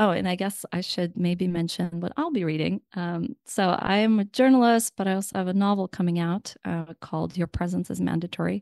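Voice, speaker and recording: With a Russian accent, the speaker talks at a moderate pace with ordinary pitch variation, in a dry, close sound with no echo and a quiet background. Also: woman. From Ukraine and Russia, then San Francisco. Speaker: author and journalist. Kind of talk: radio interview. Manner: halting, many fillers.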